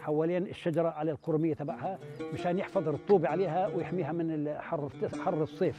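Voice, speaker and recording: Over clear music in the background, a man speaks at a moderate pace with fairly even intonation, and the sound is dry with no echo. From Palestine, West Bank. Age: 70s. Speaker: olive farmer. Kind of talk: interview answer. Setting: outdoors. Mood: calm, content. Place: open country.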